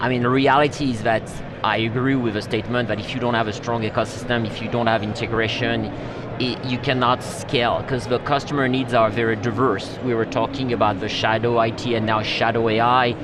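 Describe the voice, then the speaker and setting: With a French accent, a man talks at a fairly quick pace in a monotone, flat intonation, with audible room echo and noticeable background noise. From France. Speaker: tech executive. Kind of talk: interview. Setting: live stream desk at trade show. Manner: halting.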